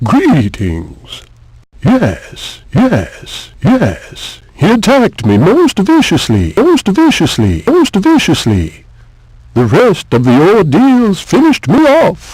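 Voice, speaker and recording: A man speaks in a put-on character voice, pitched high for a man. His pace is very slow. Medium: video game. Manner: repetitive, sardonic.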